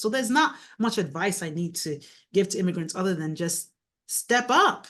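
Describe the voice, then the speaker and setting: A woman with a Nigerian accent, a bright, sharp tone and very wide pitch swings against a quiet background. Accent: Nigerian accent, still noticeable. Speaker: mayor and author. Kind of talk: interview conversation.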